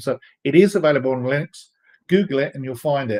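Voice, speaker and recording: A man speaks at a very fast pace in a British accent with ordinary pitch variation. The sound is dry and close, with no echo. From England, London. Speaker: software developer advocate, live stream host. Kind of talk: live stream Q&A reading chat. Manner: casual, hesitant with fillers.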